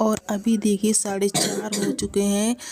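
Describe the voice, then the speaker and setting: Her voice is a woman's medium pitch, dark and mellow in tone, with monotone, flat intonation. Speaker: vlogger. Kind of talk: casual vlog talk to camera. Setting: small room at home, early morning.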